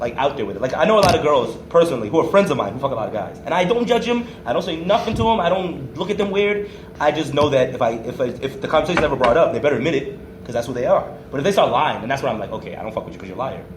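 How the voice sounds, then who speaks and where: Loud and very fast, a man talks at a fairly high pitch with very wide pitch swings, audible room echo and noticeable background noise. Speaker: podcast host. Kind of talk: casual chat.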